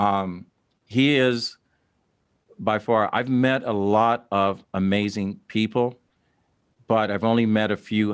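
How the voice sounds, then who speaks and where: A plain, everyday voice with an American accent. The intonation is fairly even. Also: man. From Dayton, Ohio. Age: 60s. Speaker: podcast host. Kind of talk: interview.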